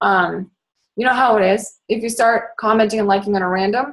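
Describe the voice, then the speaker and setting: A woman's fairly high-pitched voice with an animated tone. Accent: American. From Boston area. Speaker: fitness coach. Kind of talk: training talk. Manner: fast.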